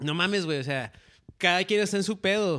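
On a very clean recording with a silent background, a man speaks at a high pitch in a bright, sharp tone with ordinary pitch variation. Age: 30s. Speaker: podcast host. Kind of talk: casual chat.

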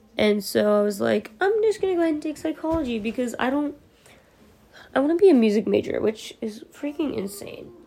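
Over noticeable background noise, a woman with an American accent and a high pitch speaks fairly quickly in a tired tone, her pitch swinging very widely. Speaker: podcaster and college student. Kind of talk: casual solo ramble. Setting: recording at night at home, no earbuds. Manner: tired, casual.

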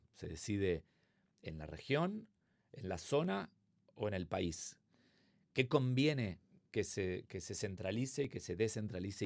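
A man with an Argentine accent, fairly low in pitch, speaking at a fairly slow pace with lively intonation on a very clean recording with a silent background. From Argentina, Buenos Aires. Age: 50s. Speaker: consulting firm co-founder. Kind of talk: interview.

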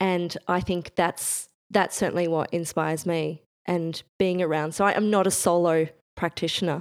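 In a very clean recording with a silent background, a woman with an Australian accent speaks at a moderate pace and fairly low pitch, with monotone, flat intonation and very even loudness. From Bendigo, Central Victoria, Australia. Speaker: exhibition designer. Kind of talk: interview conversation.

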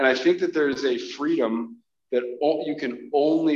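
A man speaks at a moderate pace in an unremarkable speaking voice with fairly even intonation. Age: 30s. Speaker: army staff sergeant. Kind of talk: casual chat. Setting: in person, walking around.

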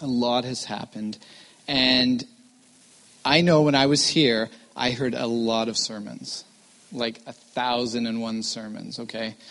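With noticeable background noise around him, a man speaks fairly slowly at a medium pitch, his intonation fairly even and his pauses long and frequent. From Vancouver, Canada. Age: 40s. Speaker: missionary guest preacher. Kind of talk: chapel talk with improv interview. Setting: college chapel stage with audience.

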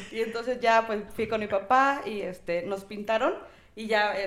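A woman speaks at a moderate pace in a fairly high pitch, her intonation fairly even, in an unremarkable speaking voice. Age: 20s. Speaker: lash technician. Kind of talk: casual chat.

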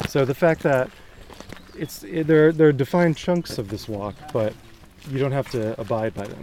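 This man speaks at a moderate pace with a fairly high pitch and lively intonation, taking long, frequent pauses. Noticeable background noise runs beneath his voice. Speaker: podcast host and writer. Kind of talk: casual interview. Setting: outdoors.

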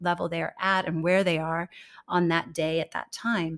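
A woman with an American accent and fairly low pitch at a moderate pace, in a dry, close sound with no echo. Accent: American, slightly international. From California. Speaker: communications consultant. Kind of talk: interview. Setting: video call. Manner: animated.

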